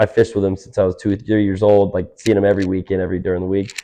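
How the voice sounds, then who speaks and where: This man speaks very fast in an American accent. His tone is dark and mellow. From US South, Georgia, an hour north of Atlanta. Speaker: podcast guest, small business owner. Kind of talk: casual chat. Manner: animated.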